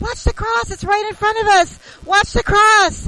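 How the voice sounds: Put-on character voice with a bright, sharp tone, fairly even intonation and a moderate pace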